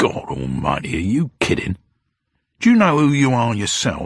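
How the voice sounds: A man's growling, put-on character voice at medium pitch and a moderate pace.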